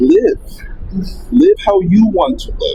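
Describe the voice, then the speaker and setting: A man's voice at a fairly slow pace, with noticeable background noise. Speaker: guest sharing personal story. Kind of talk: casual chat. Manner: loud; energetic.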